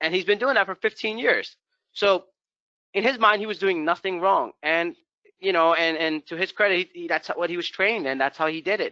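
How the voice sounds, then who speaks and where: A man with a high pitch talks at a fairly quick pace with ordinary pitch variation. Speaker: VMI program manager presenting a webinar. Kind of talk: webinar presentation. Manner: fast; casual, filler-heavy.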